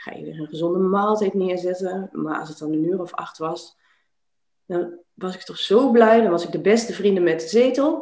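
Delivered in a normal speaking voice at a moderate pace, the speech has lively intonation and big swings in loudness. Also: woman, medium pitch for a woman. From Netherlands, Twente (Enschede). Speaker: life coach. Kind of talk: interview conversation.

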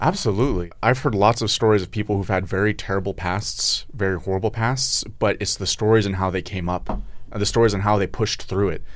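A man with a normal speaking voice talks fairly quickly at a fairly low pitch, with fairly even intonation and hardly any pauses. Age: 20s. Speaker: co-host asking questions. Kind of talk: casual chat. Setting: studio.

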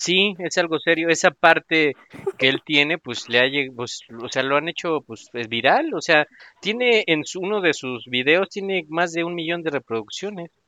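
A man with a Mexican accent talks at a moderate pace in a fairly high pitch. His tone is bright and sharp, with lively intonation. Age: 40s. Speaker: podcast host. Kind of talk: casual chat. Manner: animated.

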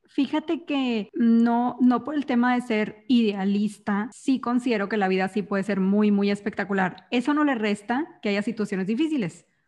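A woman speaks at a moderate pace with hardly any pauses, her fairly high pitch showing ordinary variation. Her voice is somewhat breathy, and the background is quiet. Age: 20s. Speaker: entrepreneur and speaker. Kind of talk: casual interview chat.

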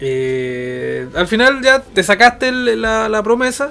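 A man's high-pitched voice with a Chilean accent, over music in the background. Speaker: podcast co-host. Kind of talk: casual chat.

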